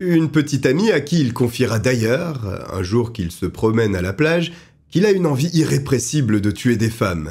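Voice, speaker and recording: This man has a medium pitch and a somewhat breathy voice. He moves at a moderate pace, his pitch swinging very widely. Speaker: true crime narrator. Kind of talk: true-crime storytelling narration, read as a scripted account. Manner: measured and suspenseful, steady storyteller pacing building tension; grave and dramatic when describing the killer's cruelty.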